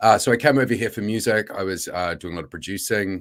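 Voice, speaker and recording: Fairly quick speech from a man, ordinary in pitch variation. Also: very clean recording, silent background. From New Zealand. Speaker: film producer and former music label founder. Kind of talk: conference panel interview.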